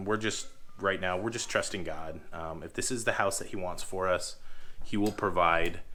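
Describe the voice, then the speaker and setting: In a room with audible echo, a man speaks at a moderate pace with a bright, sharp tone and ordinary pitch variation. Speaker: homestead farmer. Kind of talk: casual vlog talk.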